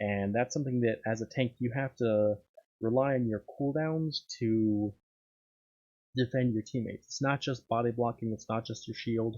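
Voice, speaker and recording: A soft-spoken man talks at a moderate pace in a medium pitch, with a dark, mellow tone. His intonation is fairly even, and the sound is dry and close with no echo. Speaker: gaming commentator. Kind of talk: gameplay commentary. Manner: halting.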